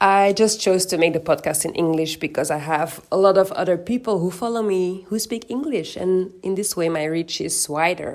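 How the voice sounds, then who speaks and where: A woman with a Flemish accent speaks at a moderate pace and a fairly low pitch, with ordinary pitch variation. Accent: Flemish Belgian Dutch accent in English. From Belgium, Antwerp. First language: Dutch. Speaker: podcast host. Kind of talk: personal podcast monologue.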